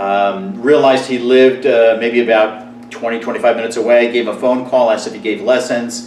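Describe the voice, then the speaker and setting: In a recording with audible room echo and noticeable background noise, a man with an American accent speaks at a medium pitch and a fairly quick pace, with fairly even intonation and hardly any pauses. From New Jersey. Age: 60s. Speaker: magician. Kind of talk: personal monologue to camera. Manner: casual, with frequent fillers.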